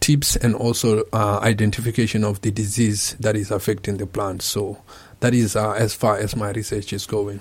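In a very clean recording with a silent background, a man with a fairly low pitch and a somewhat breathy voice talks at a moderate pace in a monotone, flat intonation. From Botswana. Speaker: graduate student. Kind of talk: radio interview.

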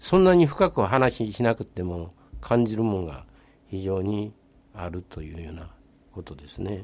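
With a Kobe accent, a man talks at a fairly low pitch, his loudness swinging widely. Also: ordinary pitch variation, moderate pace. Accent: Kansai (Kobe) dialect. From Nagata, Kobe, Japan. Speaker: retired businessman and local resident. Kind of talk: casual radio interview.

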